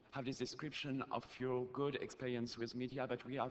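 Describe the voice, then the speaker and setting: With a French accent, the man talks at a moderate pace. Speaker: activist, audience questioner. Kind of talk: audience question at conference. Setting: conference hall, audience microphone. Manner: halting, many fillers.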